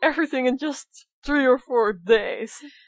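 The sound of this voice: Recorded with a dry, close sound and no echo, a woman with a Dutch accent speaks with ordinary pitch variation.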